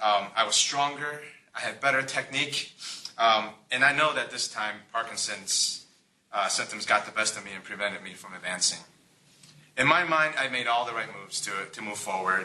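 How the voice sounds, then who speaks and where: Speech at a moderate pace shows ordinary pitch variation and big swings in loudness against noticeable background noise. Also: man, medium pitch for a man. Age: 40s. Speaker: motivational speaker with Parkinson's. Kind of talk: public presentation. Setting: conference call broadcast to audience. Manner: hesitant, many fillers.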